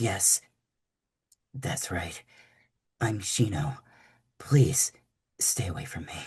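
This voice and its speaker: A man does a raspy, put-on character voice at a medium pitch and a very slow pace. His intonation is lively, his loudness swings widely, and he pauses long and often. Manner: closed off, distant, cold.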